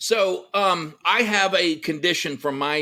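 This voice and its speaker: A loud man with a bright, sharp tone and lively intonation speaks at a fairly slow pace on a very clean recording with a silent background. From Texas. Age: 50s. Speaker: entrepreneur and army veteran. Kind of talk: podcast interview.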